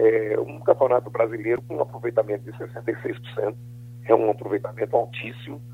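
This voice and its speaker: This man has a normal speaking voice, pitched medium for a man. He keeps a moderate pace and fairly even intonation. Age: 60s. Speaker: football coach. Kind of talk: radio phone interview. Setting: phone call.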